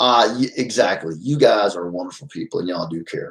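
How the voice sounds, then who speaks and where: This man talks at a very fast pace. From Texas, Fort Worth. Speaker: YouTuber. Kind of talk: casual livestream chat. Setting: livestream at home. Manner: loud, trying to quiet down.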